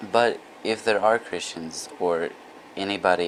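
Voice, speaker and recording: Quiet and very deep in pitch, the man's voice keeps a fairly even intonation. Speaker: vlogger. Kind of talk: casual monologue vlog.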